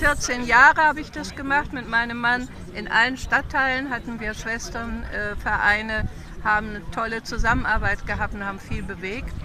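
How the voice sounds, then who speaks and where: With big swings in loudness and ordinary pitch variation, a woman talks at a fairly high pitch over noticeable background noise. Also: moderate pace, dry sound with no echo. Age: 80s+. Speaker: protest participant being interviewed. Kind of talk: interview answer. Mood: earnest, committed. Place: street. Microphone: phone near.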